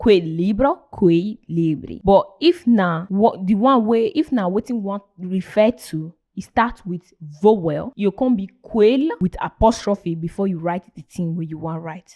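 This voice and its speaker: A dark, mellow tone at a fairly slow pace, with hardly any pauses, big swings in loudness, and a dry, close sound with no echo. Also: woman, medium pitch for a woman. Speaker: language teacher. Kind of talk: casual lesson to camera.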